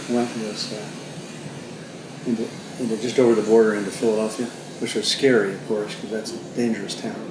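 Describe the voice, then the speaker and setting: Over noticeable background noise and audible room echo, a man speaks at a moderate pace in a medium pitch with monotone, flat intonation. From northern New Jersey (Mountainside). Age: 70s. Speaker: grandfather telling life story. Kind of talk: family oral history interview. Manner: halting, self-correcting.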